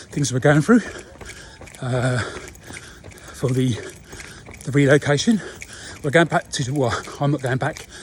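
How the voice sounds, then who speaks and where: Speaking with an English accent, a man has a fairly high pitch and ordinary pitch variation. Noticeable background noise is present. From England. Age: 60s. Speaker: runner and expat vlogger. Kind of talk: casual talk to camera while running.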